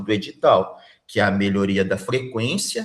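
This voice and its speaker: A man's voice with ordinary pitch variation. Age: 50s. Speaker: school principal, job interview candidate. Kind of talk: job interview.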